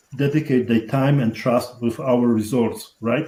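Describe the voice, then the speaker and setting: A man's somewhat breathy voice, dark and mellow in tone, with a strong Polish accent and fairly even intonation. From Poland. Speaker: real estate investor. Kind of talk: interview.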